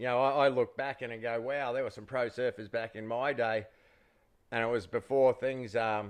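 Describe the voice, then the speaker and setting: A man with an Australian accent speaks at a moderate pace in a monotone, flat intonation. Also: medium pitch for a man. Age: 50s. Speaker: former pro surfer, podcast co-host. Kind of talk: casual chat.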